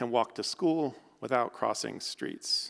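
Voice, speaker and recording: This man uses an ordinary speaking voice, medium in pitch with ordinary pitch variation, and talks at a moderate pace. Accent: General American. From United States. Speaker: architect and professor. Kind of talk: lecture.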